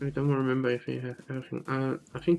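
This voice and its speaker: The speaker has a German accent. Music plays in the background. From Switzerland. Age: 20s. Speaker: gaming streamer. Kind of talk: casual live stream chat. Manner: halting.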